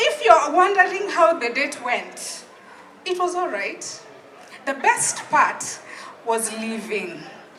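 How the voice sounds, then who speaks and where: A woman's extremely high voice with very wide pitch swings, a very slow pace, long, frequent pauses and noticeable background noise. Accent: Kenyan. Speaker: public speaking coach and storyteller. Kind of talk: live comedic storytelling monologue. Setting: live open mic, audience.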